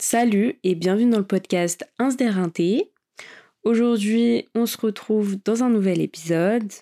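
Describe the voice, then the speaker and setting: A woman talks at a very slow pace in a relaxed, dark, mellow tone. Her pitch is medium, with ordinary variation. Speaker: podcast host. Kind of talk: casual solo monologue. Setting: recording in bed.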